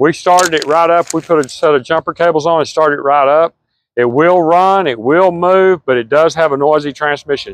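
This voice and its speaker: A man speaks at a fairly quick pace with fairly even intonation and very even loudness. The sound is dry, without echo. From Texas. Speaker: auctioneer. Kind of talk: casual equipment walkthrough to camera. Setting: outdoors. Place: open country.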